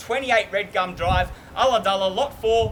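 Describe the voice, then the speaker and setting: Over noticeable background noise, a man speaks in a confident tone at a moderate pace with ordinary pitch variation. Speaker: auctioneer. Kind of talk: auction opening and terms and conditions address. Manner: confident, witty, projecting to a crowd.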